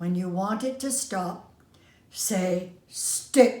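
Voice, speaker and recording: Using a put-on character voice, a woman sounds raspy at medium pitch and a very slow pace, with audible echo around her. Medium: read story.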